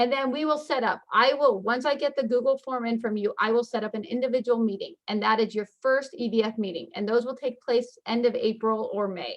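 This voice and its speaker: A woman speaks at a high pitch and a fairly quick pace. She barely pauses, and her pitch varies in an ordinary way. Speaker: school counselor. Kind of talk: informational webinar presentation. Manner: fast.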